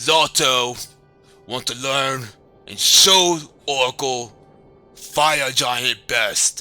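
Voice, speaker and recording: Using a put-on character voice at medium pitch, a man speaks at a very slow pace over faint music in the background. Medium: actual play. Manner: broken simple English.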